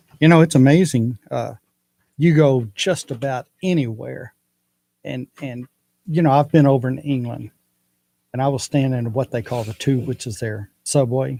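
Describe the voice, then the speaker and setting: A man with a Texas accent talks in a dark, mellow tone with ordinary pitch variation. He leaves long, frequent pauses. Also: medium pitch for a man, moderate pace, dry, close sound with no echo. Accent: Texas twang. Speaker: radio co-host. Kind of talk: casual chat.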